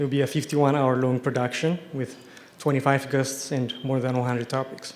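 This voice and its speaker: A man with an Ethiopian accent talks at a fairly quick pace with a fairly high pitch. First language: Amharic. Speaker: TV science show host, award recipient. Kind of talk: award acceptance speech.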